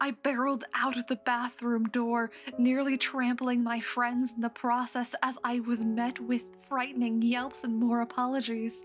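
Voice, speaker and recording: Music plays in the background as a woman speaks at a high pitch and moderate pace, in a monotone, flat intonation with very even loudness. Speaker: horror story narrator. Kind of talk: horror story narration.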